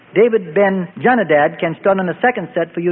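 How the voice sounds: A natural reading voice comes across with ordinary pitch variation.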